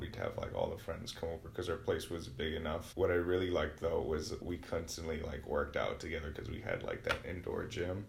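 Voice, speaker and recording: A man with an American accent speaks at a fairly quick pace. Audible room echo and noticeable background noise surround him. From Wisconsin, Milwaukee south side. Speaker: university student. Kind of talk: casual interview.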